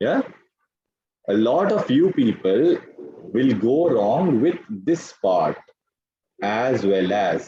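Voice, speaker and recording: With an Indian accent, the speaker talks at a very slow pace, leaving long, frequent pauses. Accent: Indian English, Telugu. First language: Telugu. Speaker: English grammar teacher. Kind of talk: online class lecture.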